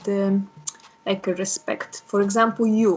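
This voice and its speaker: A woman with a Polish accent speaks at a medium pitch with fairly even intonation. Noticeable background noise is present. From Poland. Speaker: interviewee, language learner. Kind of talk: casual interview chat. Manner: halting.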